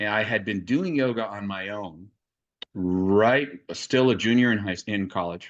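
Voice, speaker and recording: A man's fairly low voice with an American accent, against a quiet background. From Los Angeles, US. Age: 60s. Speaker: yoga teacher. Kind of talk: interview.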